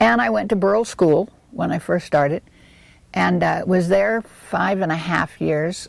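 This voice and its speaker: In a Californian accent, a woman speaks at a moderate pace. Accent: Californian American English. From Southern California, Los Angeles area. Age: 60s. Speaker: local resident interviewee. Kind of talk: oral history interview.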